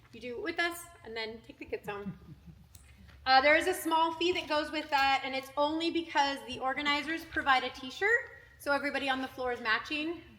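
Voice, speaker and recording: A woman's raised, projected voice, high-pitched with a bright, sharp tone, at a fairly quick pace with ordinary pitch variation and big swings in loudness. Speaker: gymnastics coach. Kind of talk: parent meeting briefing. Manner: fast; animated.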